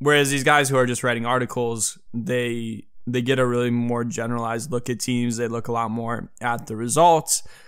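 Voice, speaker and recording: With hardly any pauses, a man talks at a moderate pace and medium pitch, his voice carrying audible room echo. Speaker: sports podcast host. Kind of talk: casual chat. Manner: stuttering today; animated.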